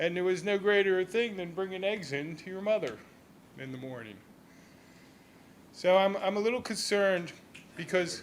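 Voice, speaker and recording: With audible room echo in the background, a man with an American accent speaks at a moderate pace in a high pitch with ordinary pitch variation. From southern New Jersey, Millville. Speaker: resident speaking at public comment. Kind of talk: public comment at a city council meeting. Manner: halting, many repeated words.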